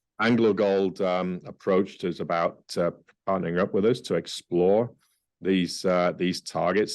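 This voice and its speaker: A man with a very deep, low pitch speaks with fairly even intonation against a quiet background. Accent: Australian. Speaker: mining company CEO. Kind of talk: interview. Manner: hesitant, many fillers.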